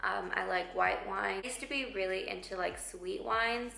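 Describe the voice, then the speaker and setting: Noticeable background noise and audible room echo around a woman speaking with an American accent. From Texas, McAllen (Rio Grande Valley). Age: 20s. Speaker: lifestyle vlogger. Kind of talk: casual Q&A vlog. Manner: chatty with many fillers.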